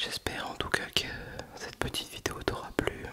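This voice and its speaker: A soft-spoken man is whispering over loud background noise. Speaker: vlogger. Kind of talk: casual vlog chat. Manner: soft close-mic ASMR whisper. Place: home room. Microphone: handheld.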